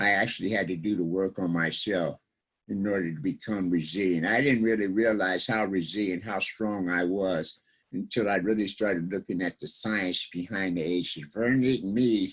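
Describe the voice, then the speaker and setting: A man with an ordinary speaking voice, fairly even intonation and a moderate pace. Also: fairly low pitch for a man. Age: 60s. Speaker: recovery speaker and presenter. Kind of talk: online workshop talk.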